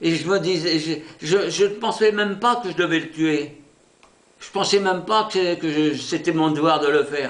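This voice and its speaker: A man talks in a calm tone at a moderate pace. His pitch is high, with ordinary variation. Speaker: war veteran, former soldier and prisoner of war. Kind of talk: oral history interview answer, recounting wartime memories. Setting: interview recording. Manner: calm, hesitant, reflective.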